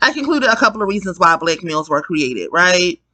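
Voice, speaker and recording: The tone is bright and sharp. Pitch swings very widely. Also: woman. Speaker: video blogger. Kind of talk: casual monologue. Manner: slow; hesitant, many fillers.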